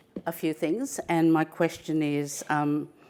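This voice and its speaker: Her voice very deep and low, a woman speaks at a fairly slow pace with fairly even intonation and a dark, mellow tone. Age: 60s. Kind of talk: conference panel facilitation. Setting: conference room with audience. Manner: halting, many fillers.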